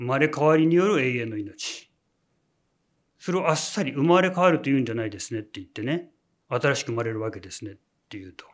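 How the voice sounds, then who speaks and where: A man talks at a very fast pace against a quiet background. His loudness swings widely and his pitch swings very widely. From Japan. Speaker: religious leader. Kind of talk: sermon. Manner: many filler words. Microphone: lapel.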